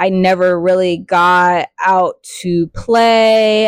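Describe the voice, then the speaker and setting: Recorded dry and close with no echo, a woman speaks with fairly even intonation. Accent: American. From California. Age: 30s. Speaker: podcast host. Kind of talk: casual personal monologue.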